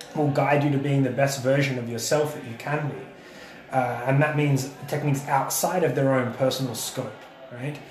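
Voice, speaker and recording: Someone with an Australian accent speaks at a moderate pace with fairly even intonation and big swings in loudness, over noticeable background noise. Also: man, fairly high pitch for a man. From South Australia. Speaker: podcast host and jiu-jitsu coach. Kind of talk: casual chat.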